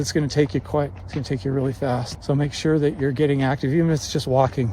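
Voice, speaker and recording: A man with a fairly high pitch talks at a very fast pace. Noticeable background noise runs underneath. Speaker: vlogger with Parkinson's disease. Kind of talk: casual vlog monologue. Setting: outdoors on a mountain. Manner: low volume, little inflection; halting with repetitions.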